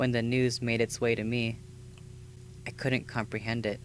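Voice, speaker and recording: Music plays behind a man talking at a medium pitch. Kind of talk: scripted personal video essay narration. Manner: earnest, emotional.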